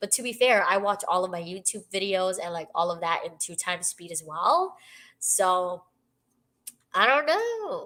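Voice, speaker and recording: A woman's medium-pitched voice with a bright, sharp tone, ordinary pitch variation, big swings in loudness, and a fairly slow pace. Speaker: book streamer. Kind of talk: live stream chat reading out comments.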